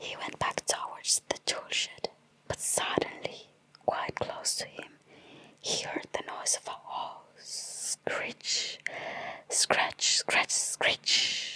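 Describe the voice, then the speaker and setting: The voice whispers at a very slow pace with a soothing tone. Noticeable background noise sits behind it. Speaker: ASMR artist. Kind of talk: bedtime story reading. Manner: whispered; soft, soothing.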